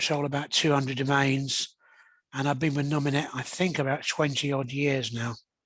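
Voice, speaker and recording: Speaking at a moderate pace, a man uses a fairly high pitch with monotone, flat intonation. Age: 60s. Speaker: board candidate. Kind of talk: candidate statement.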